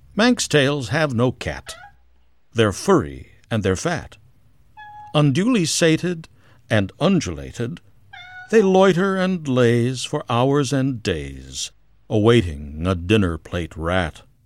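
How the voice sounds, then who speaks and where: A man speaks at a medium pitch and a very slow pace, with long, frequent pauses. His pitch swings very widely, and noticeable background noise is present. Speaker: poet and podcast host. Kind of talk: poetry reading, performed verse with playful rhyme. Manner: lilting, sing-song rhythm, whimsical; animated, playful with onomatopoeic sounds.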